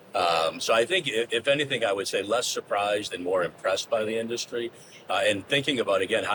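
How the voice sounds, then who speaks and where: A man with an American accent talks at a very fast pace over noticeable background noise. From US Northeast, Boston. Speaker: business executive. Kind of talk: podcast interview. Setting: studio enclosure on trade show floor.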